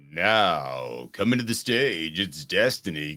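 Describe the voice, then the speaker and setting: Using a put-on character voice, a man speaks at a very deep, low pitch and a fairly slow pace. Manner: showy, hyped-up announcing.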